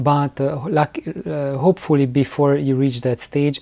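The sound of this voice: A man's fairly slow, medium-pitched voice with vocal fry, a dark, mellow tone and fairly even intonation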